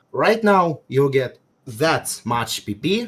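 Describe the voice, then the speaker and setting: A man speaks somewhat breathily at a fairly slow pace, his pitch swinging very widely. The recording is very clean, with a silent background. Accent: Russian. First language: Russian. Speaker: game player debating on stream. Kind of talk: debate. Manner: halting.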